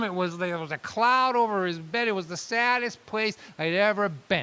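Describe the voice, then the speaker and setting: A man talks at a fairly quick pace in a raised, projected voice. His pitch is high, with ordinary variation. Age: 60s. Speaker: storyteller performer. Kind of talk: storytelling monologue. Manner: animated.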